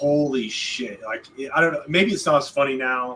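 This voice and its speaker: Against noticeable background noise, a man with a slight Southern US accent talks at a fairly quick pace and medium pitch. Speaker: podcast co-host, visual effects artist. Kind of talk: casual chat.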